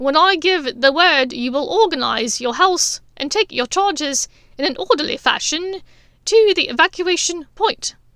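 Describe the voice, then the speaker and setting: A woman uses a put-on character voice, raised and projected at an extremely high pitch. She keeps a moderate pace with lively intonation. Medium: read story. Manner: brisk, crisp.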